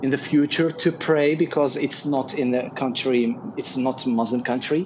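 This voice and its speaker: A man with a fairly high pitch speaks against noticeable background noise. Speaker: audience member, job seeker in IT. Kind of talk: audience question. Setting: video call.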